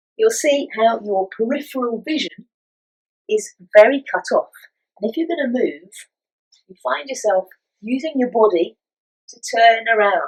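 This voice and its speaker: Her voice fairly high in pitch, a woman speaks at a moderate pace with lively intonation, big swings in loudness and long, frequent pauses. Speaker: physical theatre instructor. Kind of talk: acting tutorial talk to camera. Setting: filmed at home.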